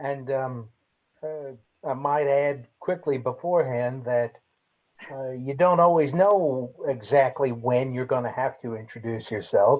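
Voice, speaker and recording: At a fairly slow pace, a man with an American accent speaks at a medium pitch with ordinary pitch variation. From United States. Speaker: lawyer, former trade negotiator. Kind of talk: self-introduction in webinar. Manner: halting, many fillers.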